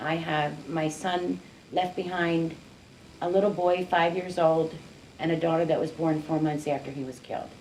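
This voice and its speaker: With an American accent, a woman speaks fairly low and flat at a moderate pace, with audible room echo. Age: 60s. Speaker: community activist, mother of gun violence victim. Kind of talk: interview.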